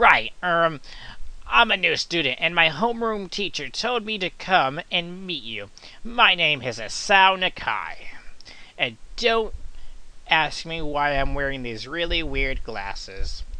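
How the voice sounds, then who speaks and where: In a put-on character voice with a middle pitch, the speaker goes at a fairly slow pace against a quiet background. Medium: game stream.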